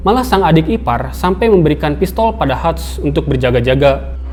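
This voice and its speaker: A man's fairly quick speech comes with noticeable background noise. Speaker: film recap narrator. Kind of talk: movie plot recap narration.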